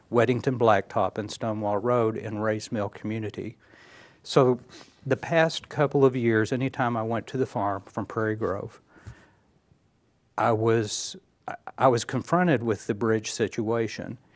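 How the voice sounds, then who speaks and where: A man speaks at a medium pitch and moderate pace with fairly even intonation. He leaves long, frequent pauses. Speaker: county judge candidate. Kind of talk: TV interview.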